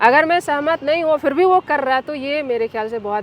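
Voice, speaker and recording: Through noticeable background noise, a woman talks at a moderate pace with very wide pitch swings. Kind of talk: interview answer. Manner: assertive, outspoken.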